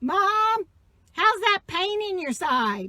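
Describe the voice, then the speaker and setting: A woman's loud, squeaky, put-on character voice, extremely high in pitch with lively intonation. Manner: overly bright.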